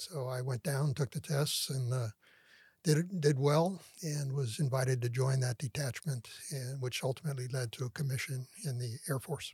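Speaking with an American accent, a man keeps a moderate pace at a medium pitch. His voice is somewhat breathy, with ordinary pitch variation. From San Francisco Bay Area, California. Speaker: retired air force colonel. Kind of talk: interview.

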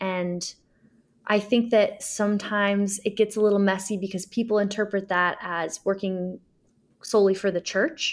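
On a very clean recording with a silent background, a woman with an American accent speaks at a moderate pace and medium pitch in a monotone, flat intonation. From US Midwest, Springfield, Illinois. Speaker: community organizer. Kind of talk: interview conversation.

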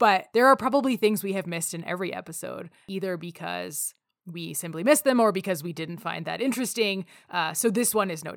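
A woman with a Canadian accent talks very fast at a medium pitch, her intonation lively and her loudness swinging widely, with vocal fry throughout, on a very clean recording with a silent background. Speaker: podcast host. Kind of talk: casual conversational podcast.

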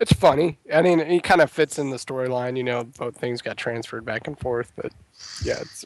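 A man's plain, everyday voice, medium in pitch with ordinary pitch variation, at a fairly quick pace with big swings in loudness and a dry, close sound with no echo. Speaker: podcast co-host. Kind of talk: casual podcast discussion.

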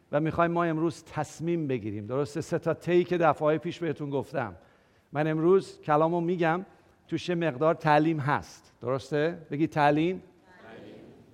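With a fairly high pitch and ordinary pitch variation, a man speaks in an animated tone at a fairly quick pace. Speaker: pastor. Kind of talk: sermon. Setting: church.

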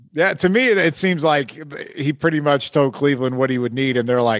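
Moderate pace and ordinary pitch variation from a man with a plain, everyday voice. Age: 40s. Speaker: sports podcast host. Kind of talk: casual interview chat; show intro. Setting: home studio.

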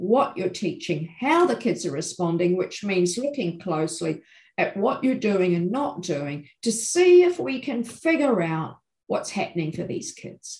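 Breathing somewhat into her words, a woman with a New Zealand accent speaks at a fairly slow pace with very wide pitch swings. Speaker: education professor. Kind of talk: interview.

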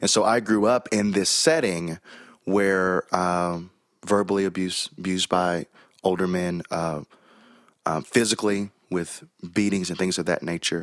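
Fairly slow speech with fairly even intonation comes in an American accent, the sound dry and close with no echo. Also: man, very deep, low pitch for a man. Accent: Southern, mostly masked. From US South, Chattanooga, Tennessee. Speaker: pastor. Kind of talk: casual interview.

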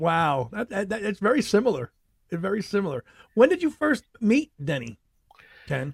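With a New York accent, a man speaks in a high pitch with very wide pitch swings. Long, frequent pauses break up his speech. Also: moderate pace. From New York City. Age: 40s. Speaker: podcast host. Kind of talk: casual chat.

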